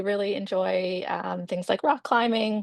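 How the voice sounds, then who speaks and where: Over a quiet background, a woman talks in a Maritimes accent. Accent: Canadian English (Maritimes). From Nova Scotia, Canada. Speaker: physiotherapist and patient panelist. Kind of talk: personal introduction on webinar panel. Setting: video webinar. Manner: hesitant, many filler words.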